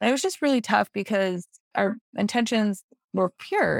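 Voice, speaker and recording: A woman with an American accent, with a dry, close sound with no echo in a very clean recording over a silent background. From Utah. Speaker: network marketing leader. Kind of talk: interview.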